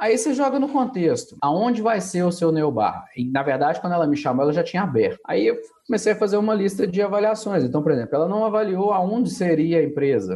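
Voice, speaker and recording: Noticeable background noise behind a male voice, its pitch swinging very widely. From Brazil, Minas Gerais (Belo Horizonte). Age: 30s. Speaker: business consultant and coach. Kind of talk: interview.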